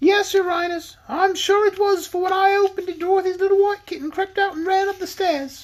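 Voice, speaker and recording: Squeaky and extremely high, a woman's put-on character voice runs at a fairly quick pace with hardly any pauses and fairly even intonation. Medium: read story.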